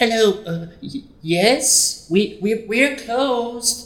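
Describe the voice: A shaky, fairly high-pitched put-on character voice comes through with a slight echo.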